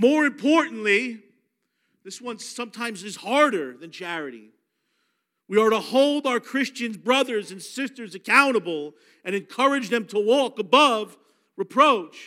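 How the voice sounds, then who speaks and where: In a very clean recording with a silent background, a man with an extremely high pitch and a bright, sharp tone speaks in a raised, projected voice at a moderate pace, his tone animated and his intonation lively. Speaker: ministry director and preacher. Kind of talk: sermon. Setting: church.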